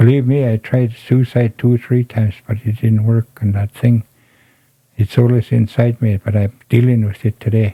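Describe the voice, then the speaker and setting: A man's somewhat breathy, dark, mellow voice at medium pitch, monotone and flat, at a moderate pace, with a dry, close sound and no echo. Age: 70s. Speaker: elder, residential school survivor. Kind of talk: interview, personal testimony.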